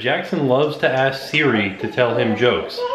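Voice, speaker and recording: A man is heard with light background noise and audible echo from the room. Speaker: family vlogger. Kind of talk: casual vlog chat. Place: kitchen. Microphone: phone near.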